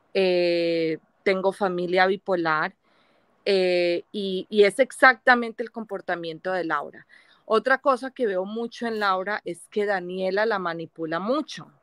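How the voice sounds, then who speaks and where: In a dry recording with no echo and a quiet background, a woman speaks at a fairly slow pace with ordinary pitch variation. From Colombia. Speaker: viewer joining live stream; guest. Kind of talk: casual chat. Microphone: video call.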